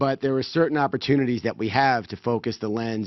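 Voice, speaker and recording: A man with a New York accent at a fairly quick pace. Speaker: event organizer giving opening remarks. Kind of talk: welcome speech.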